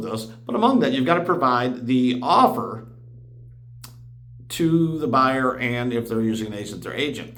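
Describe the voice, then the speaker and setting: A man's medium-pitched, animated voice with ordinary pitch variation, audible room echo and noticeable background noise. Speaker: real estate agent. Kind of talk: explainer video. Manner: fast.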